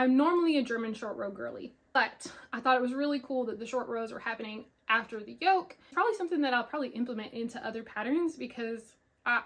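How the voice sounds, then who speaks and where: The voice is animated, with an American accent. It moves at a very fast pace with ordinary pitch variation. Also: woman, high pitch for a woman. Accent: Southern US country accent, coming out more. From US South, Pensacola, Florida. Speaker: knitting podcaster. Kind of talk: casual chat.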